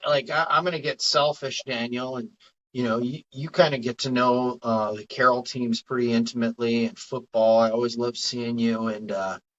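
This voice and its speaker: At a moderate pace and with hardly any pauses, a man speaks in an ordinary speaking voice at medium pitch. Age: 50s. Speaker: podcast host. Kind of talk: casual chat.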